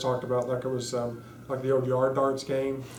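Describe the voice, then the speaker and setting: A man's very fast, medium-pitched speech in an American accent, with audible room echo and noticeable background noise. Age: 30s. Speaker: spinal cord injury survivor. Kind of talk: interview testimony. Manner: halting, many fillers.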